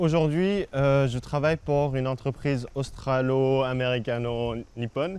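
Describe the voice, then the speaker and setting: This man's medium-pitched voice shows ordinary pitch variation as he talks at a fairly slow pace. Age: 30s. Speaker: TV fixer and producer. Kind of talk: interview. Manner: halting, many hesitations.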